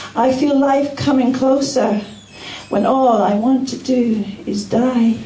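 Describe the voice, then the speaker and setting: With audible room echo, a woman speaks at a very slow pace in a high pitch, her intonation fairly even. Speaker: spoken word performer. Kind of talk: poetry reading. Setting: live open mic in a bar. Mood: soft, somber, reflective. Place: bar.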